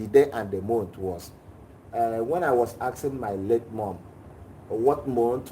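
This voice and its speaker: A man talks fairly slowly in a somewhat breathy voice with a dark, mellow tone. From Nigeria. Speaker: class participant asking a question. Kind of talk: personal question in a live class.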